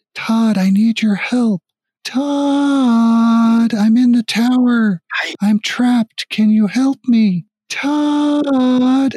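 A put-on character voice with a fairly high pitch and a very slow pace. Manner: pleading, calling out.

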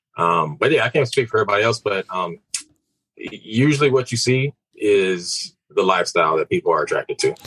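Recorded dry and close with no echo, a man with an American accent talks at a fairly quick pace. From Houston, Texas. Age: 30s. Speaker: realtor and real estate investor. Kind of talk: casual interview chat.

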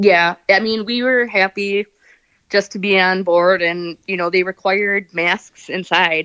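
A plain, everyday voice with an American accent, a fairly slow pace, and fairly even intonation, in a quiet background with dry, close sound and no echo. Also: woman, medium pitch for a woman. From US Midwest, Wisconsin. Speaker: scuba diver and cruise enthusiast. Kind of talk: casual interview.

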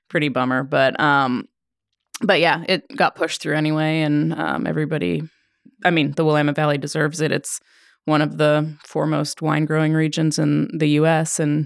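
The recording is very clean, with a silent background. A woman speaks at a moderate pace with a very deep, low pitch and monotone, flat intonation. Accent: American. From Oregon, US. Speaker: winemaker. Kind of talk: casual chat. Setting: studio.

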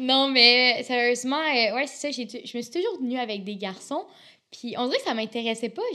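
Noticeable background noise runs under a woman speaking at a moderate pace in a high pitch with ordinary pitch variation. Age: 20s. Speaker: university student. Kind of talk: casual interview. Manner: animated.

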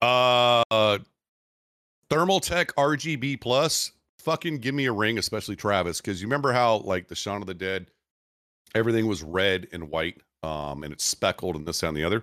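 A man talks at a moderate pace and a fairly low pitch, his tone bright and sharp, in a very clean recording with a silent background and a dry, close sound with no echo. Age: 40s. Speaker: military veteran. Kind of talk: casual chat.

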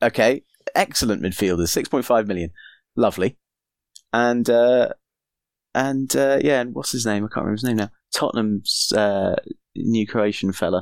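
A man keeps a moderate pace, pausing long and often, with ordinary pitch variation. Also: medium pitch for a man, very clean recording, silent background. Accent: slight Geordie. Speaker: football fan guest. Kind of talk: casual chat.

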